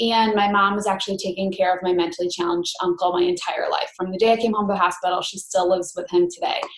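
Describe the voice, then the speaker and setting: A woman with a Western New York accent, medium pitch and a monotone, flat intonation. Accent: Western New York American. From Rochester, New York, US. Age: 20s. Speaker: network marketing coach, former teacher. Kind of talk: online training presentation.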